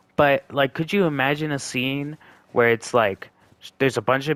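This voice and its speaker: In a dry, close recording with no echo, a man speaks at a moderate pace with fairly even intonation. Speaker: gaming YouTuber. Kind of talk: let's play commentary. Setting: at home on couch with headset. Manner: casual, filler-heavy.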